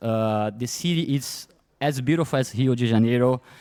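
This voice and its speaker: The speaker has a Brazilian Portuguese accent, a moderate pace and ordinary pitch variation. The recording is very clean with a silent background, dry and close with no echo. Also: man. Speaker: event organizer. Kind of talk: award speech. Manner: halting.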